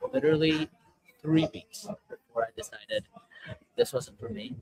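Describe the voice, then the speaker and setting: This man's voice sits fairly high, with lively intonation and a dry, close sound that has no echo. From western Canada. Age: 18. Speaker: startup founder. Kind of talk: casual talk on a webinar. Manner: halting, many fillers and repeats.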